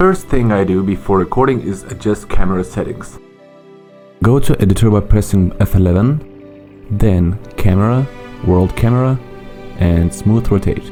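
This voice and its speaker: Music plays in the background as a man with a non-native accent speaks at a moderate pace, pitched fairly low. His pitch variation is ordinary, and he takes long, frequent pauses. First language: not English. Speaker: video game tutorial creator. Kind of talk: software tutorial narration.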